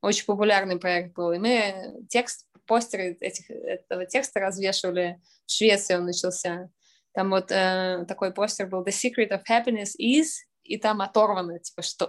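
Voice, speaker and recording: Against a quiet background, a woman with a normal speaking voice talks at a moderate pace, with a medium pitch and ordinary pitch variation. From Russia, St Petersburg. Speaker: artist. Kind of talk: interview.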